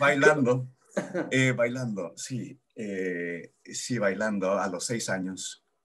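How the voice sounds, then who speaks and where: A man's medium-pitched voice at a very slow pace with ordinary pitch variation. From Mexico, Chihuahua city. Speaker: physical theatre actor. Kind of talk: podcast interview.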